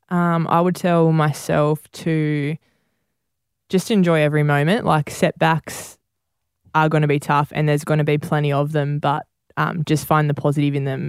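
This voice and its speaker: A woman with an Australian accent speaks at a very deep, low pitch and a moderate pace. Her intonation is monotone and flat, and the sound is dry and close with no echo. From New South Wales, Australia (Campbelltown, Bargo). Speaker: professional netball and football player. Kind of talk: interview.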